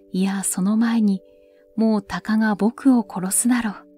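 Music plays in the background as a woman with a fairly high pitch speaks at a very slow pace, in a dry, close sound with no echo. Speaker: narrator. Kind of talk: literary story reading. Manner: soft-spoken, slow.

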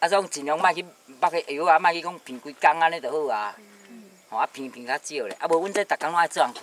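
Talking at a very fast pace, a man is heard in a dry sound with no echo. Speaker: orchard farmer; interviewee. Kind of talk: casual chat. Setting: outdoors. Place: open country. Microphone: camera far.

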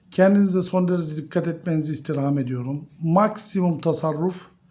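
A high-pitched man with a dark, mellow tone, ordinary pitch variation, and a moderate pace. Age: 50s. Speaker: finance YouTuber. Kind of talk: video monologue on investing.

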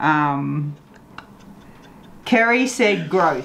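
At a very slow pace, a woman speaks in a low, fairly bright voice with vocal fry and lively intonation.

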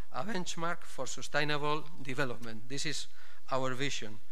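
A man is speaking here. His pace is moderate. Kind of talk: formal welcome speech. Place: hall. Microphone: podium.

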